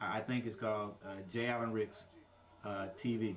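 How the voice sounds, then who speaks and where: With noticeable background noise behind him, a man speaks at a fairly low pitch in a monotone, flat intonation. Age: 50s. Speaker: sports commentator. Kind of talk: casual chat. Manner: halting.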